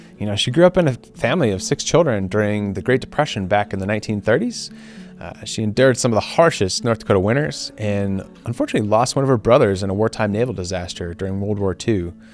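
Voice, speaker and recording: With music in the background, a man with a fairly low pitch talks at a very fast pace using lively intonation. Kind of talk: documentary narration.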